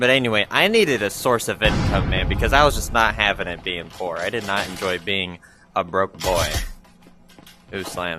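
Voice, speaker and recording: Over music in the background, a man talks at a moderate pace with a fairly low pitch and ordinary pitch variation. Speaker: gaming YouTuber. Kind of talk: casual gameplay commentary. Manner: animated.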